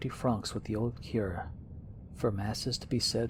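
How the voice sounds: Spoken in a natural reading voice, the delivery keeps a fairly even intonation.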